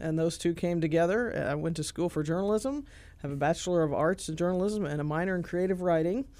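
Very fast speech comes from a woman with an American accent and a dark, mellow tone. Her pitch is fairly low, with ordinary variation. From central Illinois. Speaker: newspaper editor. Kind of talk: radio interview.

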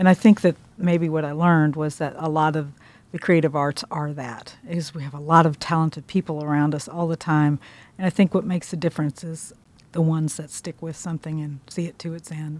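Her pitch very deep and low, a woman in a Midwestern American accent speaks with fairly even intonation and big swings in loudness, the sound dry and close with no echo. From Kansas. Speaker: food writer. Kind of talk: interview.

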